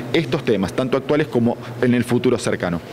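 A man talks very fast at a medium pitch. Light background noise sits under his voice. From Argentina, Buenos Aires. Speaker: oncologist. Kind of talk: news interview. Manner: halting, with frequent repetitions. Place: hall. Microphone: handheld.

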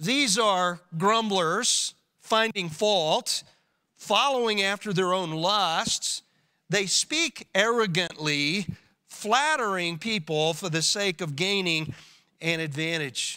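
A man's raised, projected voice at a very slow pace over a quiet background. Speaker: pastor. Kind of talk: sermon. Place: church. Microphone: podium.

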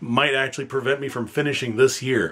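Speaking at a moderate pace, a man uses a medium pitch. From Northern Ontario, Canada; Ontario, Canada. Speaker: PhD student in history. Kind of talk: fundraising appeal. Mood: earnest, slightly humble. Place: home room.

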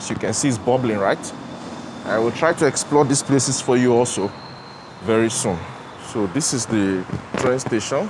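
Over noticeable background noise, the speaker goes at a fairly quick pace with ordinary pitch variation. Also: man. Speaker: travel vlogger. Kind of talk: casual vlog chat. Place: station. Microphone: lapel.

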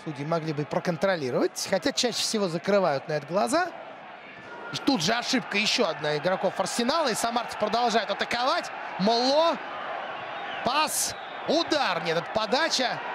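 A man's high voice with very wide pitch swings, an animated, excited tone, long, frequent pauses and noticeable background noise. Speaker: football commentator. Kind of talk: live football commentary. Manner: animated, quick-paced play-by-play with excited reaction at the goal; opinionated, conversational analysis of the penalty and replay.

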